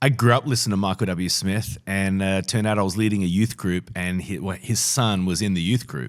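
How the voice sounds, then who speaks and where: A man with an Australian accent, fairly low in pitch with ordinary pitch variation, talking fairly quickly with hardly any pauses, on a very clean recording with a silent background. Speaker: pastor and author. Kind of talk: interview conversation.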